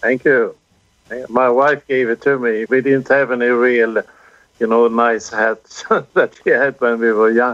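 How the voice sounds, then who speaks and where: In a southern Swedish accent, a man of medium pitch speaks at a fairly slow pace in a monotone, flat way with very even loudness, the sound dry and close with no echo. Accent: Swedish, southern Sweden. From southern Sweden. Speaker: amateur radio operator. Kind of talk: casual chat.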